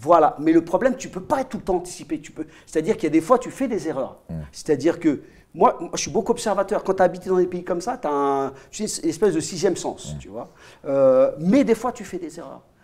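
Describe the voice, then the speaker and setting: With lively intonation and big swings in loudness, a high-pitched man rattles off his words at a very fast pace. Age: 50s. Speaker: MMA coach, co-host. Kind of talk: casual chat. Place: home room. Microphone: lapel.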